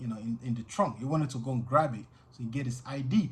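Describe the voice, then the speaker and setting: At a fairly quick pace, a man with a medium pitch and ordinary pitch variation sounds somewhat breathy. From Nigeria, grew up partly in the UK. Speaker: vlogger. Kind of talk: personal storytelling monologue. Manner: casual, many fillers and repetitions.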